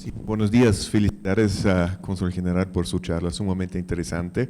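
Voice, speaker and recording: A man with a non-native accent speaks at a very deep, low pitch in a dark, mellow tone with ordinary pitch variation. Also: moderate pace. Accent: foreign accent in Spanish. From Mexico, Austrian family. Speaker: audience member. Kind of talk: audience question. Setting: conference hall, handed a microphone.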